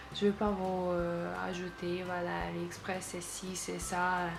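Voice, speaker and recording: A woman speaks with a non-native accent, and the room echo is audible. Music plays in the background. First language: not French (speaking French). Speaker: beauty and shopping vlogger. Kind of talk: product haul video. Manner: hesitant, many fillers.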